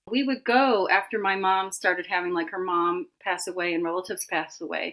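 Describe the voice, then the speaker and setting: Speaking at a fairly quick pace with an American accent, a woman uses a medium pitch, ordinary pitch variation and a bright, sharp tone in a very clean recording with a silent background. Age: 60s. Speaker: animal communicator. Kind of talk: interview conversation.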